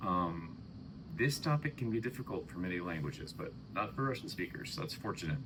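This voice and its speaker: At a fairly quick pace and a fairly low pitch, a man speaks with very wide pitch swings in audible room echo. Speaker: English teacher. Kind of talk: lecture. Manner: hesitant, many fillers; intonation with much up and down.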